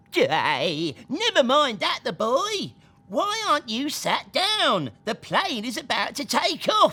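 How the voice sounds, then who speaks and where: This put-on character voice sits high in pitch. It moves at a fairly slow pace. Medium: read story. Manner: brusque, gruff.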